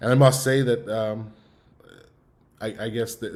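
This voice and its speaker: A man delivers his words in a monotone, flat intonation at a moderate pace. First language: Yiddish. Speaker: musician. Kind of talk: online talk, personal story. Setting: online event. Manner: halting, many fillers and repeats.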